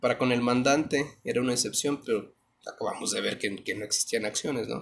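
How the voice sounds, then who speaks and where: A normal speaking voice from a man, medium in pitch, fairly quick, with fairly even intonation. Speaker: law teacher. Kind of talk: lecture.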